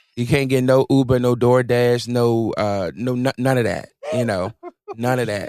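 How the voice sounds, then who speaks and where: In an ordinary speaking voice, a man with an American accent talks at a moderate pace and medium pitch, his intonation fairly even and the sound dry and close with no echo. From rural Virginia. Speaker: R&B singer.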